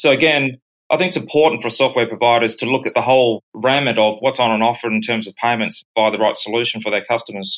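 A man with an Australian accent at medium pitch, a very fast pace, hardly any pauses and fairly even intonation. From Brisbane, Australia. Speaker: payments company executive. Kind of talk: interview.

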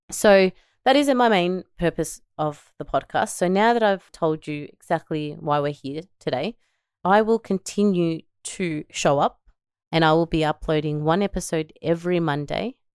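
Recorded with a dry, close sound and no echo, a woman with an Australian accent and a fairly low pitch speaks at a moderate pace with ordinary pitch variation. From Melbourne, Australia. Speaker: podcast host and entrepreneur mother. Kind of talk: solo podcast monologue. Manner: upbeat, enthusiastic.

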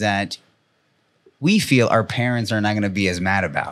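In a very clean recording with a silent background, a man with a plain, everyday voice speaks at a moderate pace and fairly low pitch with ordinary pitch variation. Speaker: tattoo artist podcast host. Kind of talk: casual podcast chat.

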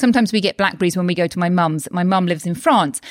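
A woman talks with a British accent. Her tone is animated and upbeat. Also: dry, close sound with no echo, very clean recording, silent background. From UK. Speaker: doctor and health coach podcaster. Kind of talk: solo podcast talk, motivational. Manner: animated, upbeat.

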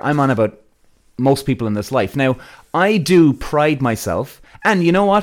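On a very clean recording with a silent background, a man with an Irish accent talks fairly quickly at a fairly high pitch. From Ireland. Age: 40s. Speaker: podcast host. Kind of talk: solo podcast monologue. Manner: casual, animated.

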